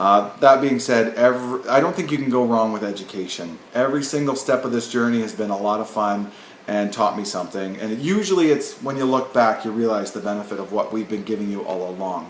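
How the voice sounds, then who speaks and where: Speaking with a Canadian accent at a medium pitch, a man moves at a fairly quick pace with hardly any pauses and ordinary pitch variation, amid noticeable background noise and audible room echo. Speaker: nursing professor. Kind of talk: lecture. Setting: recorded video at home or office. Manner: fast.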